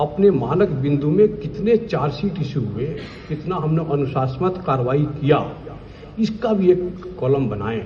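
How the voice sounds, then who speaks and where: A man with a Bihari accent and lively intonation, amid noticeable background noise and audible room echo. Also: fairly high pitch for a man. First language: Bhojpuri (speaking Hindi). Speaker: vigilance officer. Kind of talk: speech at official event. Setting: stage with audience. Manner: emphatic.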